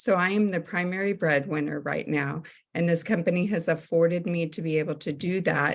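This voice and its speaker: An unremarkable speaking voice moves at a moderate pace with ordinary pitch variation. The background is quiet. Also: woman. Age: 60s. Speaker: network marketing consultant, former teacher. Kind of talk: sales presentation on a group call.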